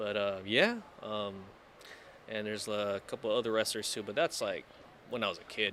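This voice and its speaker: A man speaks fairly quickly with an American accent, his pitch fairly low and his intonation fairly even. Long pauses come often between his words. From East Los Angeles, USA. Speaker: ring announcer; screamer in a band. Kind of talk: casual interview answer.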